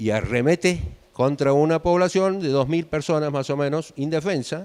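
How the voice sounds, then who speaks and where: Moderate pace and ordinary pitch variation in a man's normal speaking voice, pitched fairly high. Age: 50s. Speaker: guest lecturer. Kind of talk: lecture.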